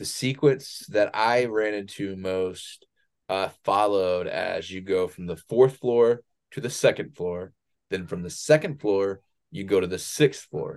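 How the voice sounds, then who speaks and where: A man with an ordinary speaking voice talks at a fairly slow pace, with a fairly low pitch and ordinary pitch variation. His loudness swings widely against a quiet background. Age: 30s. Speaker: podcast co-host and Etsy shop owner. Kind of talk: casual chat. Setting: home recording.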